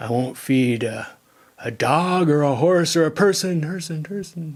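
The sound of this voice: A man does a booming, dramatic put-on character voice at a fairly high pitch and a moderate pace.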